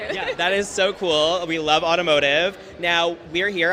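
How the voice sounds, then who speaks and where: A man with an American accent, fairly high in pitch, with ordinary pitch variation and noticeable background noise. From New York. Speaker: event host. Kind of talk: live event interviews. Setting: live event backstage. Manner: animated.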